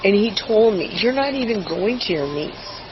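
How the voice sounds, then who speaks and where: Over noticeable background noise, a woman talks at a moderate pace in an animated tone, her pitch swinging very widely. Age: 70s. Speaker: grandmother calling police, retired nurse. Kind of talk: police encounter, agitated account to officer.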